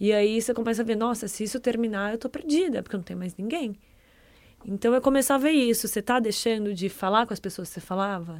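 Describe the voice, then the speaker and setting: The recording is very clean, with a silent background. A woman speaks very fast in a fairly high pitch. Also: ordinary pitch variation. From Brazil, Ribeirão Preto (São Paulo state interior). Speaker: content producer. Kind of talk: casual chat.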